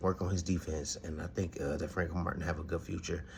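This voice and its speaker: Here a man talks at a fairly quick pace. His voice is somewhat breathy, and his intonation stays fairly even. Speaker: boxing podcast host. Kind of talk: casual commentary monologue. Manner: halting, stuttering.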